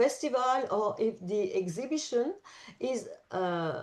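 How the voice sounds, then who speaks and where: A woman with a French accent speaks at a very slow pace in a fairly high pitch. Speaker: national secretary of a travel organization. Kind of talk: presentation in an online forum. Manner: halting, many hesitations.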